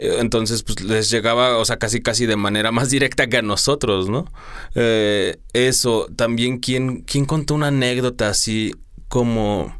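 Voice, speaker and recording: Using an ordinary speaking voice at medium pitch, a man speaks at a fairly slow pace with fairly even intonation and very even loudness. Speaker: radio host. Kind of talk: interview. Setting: studio.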